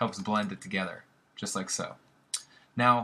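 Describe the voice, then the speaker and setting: The man's voice sits at a medium pitch with a bright, sharp tone. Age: 20s. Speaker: graphic design tutor. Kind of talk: tutorial. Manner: fast; casual, filler-heavy.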